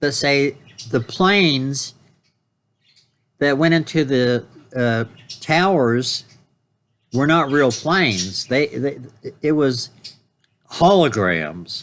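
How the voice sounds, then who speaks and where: Speaking at a very slow pace with long, frequent pauses, a man with fairly high pitch uses lively intonation while keeping his loudness very even. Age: 70s. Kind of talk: casual talk to camera. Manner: rambling, hesitant.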